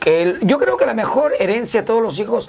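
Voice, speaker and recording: A man speaking at a fairly quick pace over noticeable background noise. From northern Peru, Chiclayo. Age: 50s. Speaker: street comedian. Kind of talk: interview. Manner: halting.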